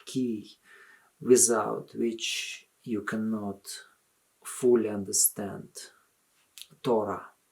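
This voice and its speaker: In a very clean recording with a silent background, a man with a Russian accent talks at a medium pitch, a very slow pace and a monotone, flat intonation. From Soviet Union. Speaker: religious commentator. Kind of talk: video appeal monologue.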